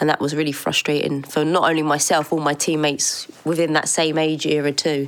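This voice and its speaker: A woman with an English accent and a very deep, low pitch, fairly quick pace, flat monotone intonation, very even loudness and hardly any pauses. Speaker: former footballer. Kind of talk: interview.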